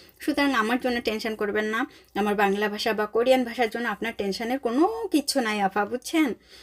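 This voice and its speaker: A woman speaks in a fairly high voice, and her pitch varies in an ordinary way. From Bangladesh. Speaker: vlogger. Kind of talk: casual vlog narration.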